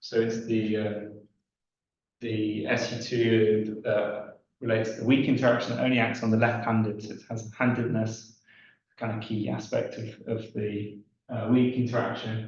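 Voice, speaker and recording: A man's somewhat breathy, medium-pitched voice in a flat monotone, with audible room echo. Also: moderate pace. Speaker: physics lecturer. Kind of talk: lecture. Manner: halting, many fillers.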